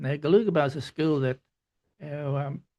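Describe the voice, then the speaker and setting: A man with an Australian accent talks at a fairly quick pace, his intonation fairly even. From Queensland, Australia. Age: 80s+. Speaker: artist and former headmaster. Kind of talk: interview.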